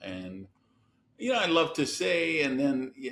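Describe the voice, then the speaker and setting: A plain, everyday voice, a man with an American accent at a moderate pace with ordinary pitch variation. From US Midwest, Madison, Wisconsin. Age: 60s. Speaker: entrepreneur and business coach. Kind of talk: podcast interview.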